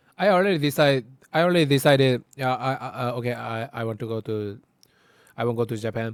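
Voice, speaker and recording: A man speaks at a very fast pace with a Korean accent. His pitch varies in an ordinary way. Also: medium pitch for a man. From South Korea. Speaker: co-host of reaction channel. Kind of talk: casual chat. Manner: halting.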